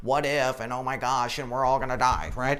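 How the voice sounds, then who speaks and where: A man's rumbling, put-on character voice at medium pitch and a fairly quick pace. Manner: grumbling, anxious.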